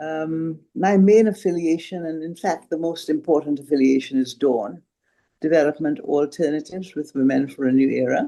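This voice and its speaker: A woman talks at a moderate pace with ordinary pitch variation. Her voice is very deep and low-pitched, with a dark, mellow tone. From Caribbean. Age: 80s+. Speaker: retired feminist activist. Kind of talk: introductions in online meeting. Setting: video call.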